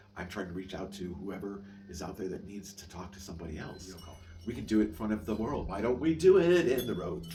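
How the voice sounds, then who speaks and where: A man with a very deep, low voice talks at a very fast pace, his pitch varying in an ordinary way. His loudness swings widely, and audible room echo surrounds him. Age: 60s. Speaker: vlogger living with chronic illness. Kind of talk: casual monologue vlog. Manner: halting, frequent repetitions and fillers.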